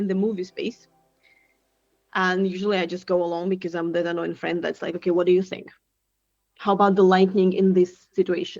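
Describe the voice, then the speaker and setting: Over music in the background, a woman with a Russian accent talks at a fairly quick pace, broken by long, frequent pauses. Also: medium pitch for a woman. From Siberia, Russia. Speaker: tech founder and product mentor. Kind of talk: podcast interview. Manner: animated.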